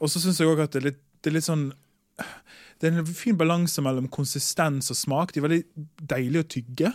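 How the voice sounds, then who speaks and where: A man with a fairly high voice talks at a fairly quick pace, using an ordinary speaking voice and ordinary pitch variation. The recording is very clean, with a silent background. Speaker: chemist. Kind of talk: casual chat. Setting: studio.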